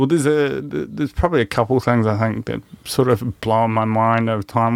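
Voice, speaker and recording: In a New Zealand accent, the speaker uses ordinary pitch variation on a very clean recording with a silent background. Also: man. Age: 30s. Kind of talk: casual chat.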